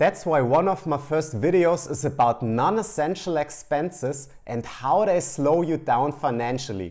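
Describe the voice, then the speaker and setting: A man with a German accent, fairly high pitch, lively intonation and a moderate pace. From Germany. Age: 30s. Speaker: finance content creator. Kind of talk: casual talk to camera.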